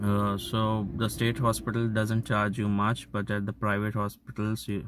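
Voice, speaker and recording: Over light background noise, in a dry sound with no echo, a man speaks at a fairly slow pace and fairly low pitch with monotone, flat intonation. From India. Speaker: vlogger; vlogger living abroad. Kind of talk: explainer vlog. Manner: halting, many fillers. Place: car. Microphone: phone near.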